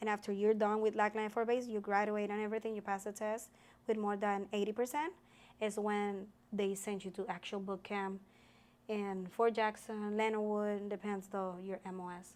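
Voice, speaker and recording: A woman with a Puerto Rican accent speaks at a moderate pace and medium pitch in a flat monotone. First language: Spanish. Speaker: army sergeant. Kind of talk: interview. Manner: halting.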